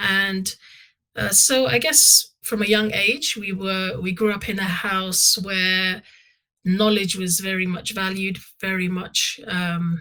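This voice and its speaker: A woman speaks very slowly with a London accent at medium pitch. Her tone is bright and sharp, with ordinary pitch variation. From London, England. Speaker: Islamic scholar. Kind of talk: interview. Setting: podcast.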